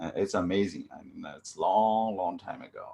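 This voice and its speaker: A man speaks with a Chinese accent. His pace is fairly slow. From central China. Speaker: chemistry professor. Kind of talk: testimony. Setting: video call. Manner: halting.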